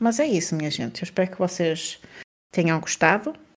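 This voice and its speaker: This woman has a European Portuguese accent. Her pitch is medium. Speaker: podcast co-host. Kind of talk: casual chat.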